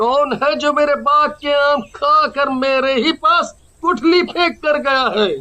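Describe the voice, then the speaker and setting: A man does a cartoonish character voice at an extremely high pitch, speaking at a fairly slow pace. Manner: startled, frightened.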